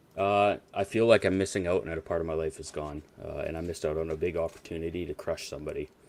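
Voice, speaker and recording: A man talks at a fairly quick pace over noticeable background noise. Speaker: former fantasy football league member, guest. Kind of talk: casual chat.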